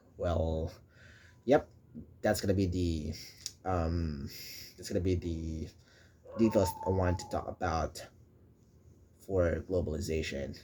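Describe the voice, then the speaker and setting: The voice is somewhat breathy and dark, mellow in tone, with long, frequent pauses, on a very clean recording with a silent background. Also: man, very deep, low pitch for a man, fairly even intonation. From Philippines. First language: Filipino (Tagalog or other Philippine language). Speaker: presenter explaining a school topic. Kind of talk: unscripted explainer presentation. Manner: halting, many fillers and restarts.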